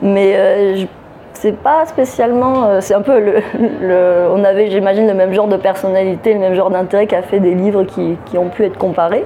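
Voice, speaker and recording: A woman's medium-pitched voice at a moderate pace, very even in loudness, with ordinary pitch variation and noticeable background noise. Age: 30s. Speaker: novelist. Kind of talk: interview. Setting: book festival.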